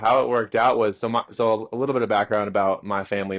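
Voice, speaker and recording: Against a quiet background, a man with an unremarkable speaking voice and an American accent talks at a fairly quick pace and medium pitch. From California. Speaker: loan officer. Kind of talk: interview. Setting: video call.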